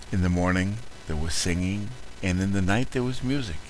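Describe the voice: What we hear is plain reading aloud.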